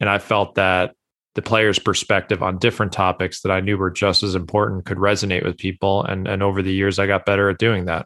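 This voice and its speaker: Over a quiet background, a man with a fairly low pitch and a bright, sharp tone speaks quickly in a monotone, flat way. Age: 30s. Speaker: golf author and blogger. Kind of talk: casual interview.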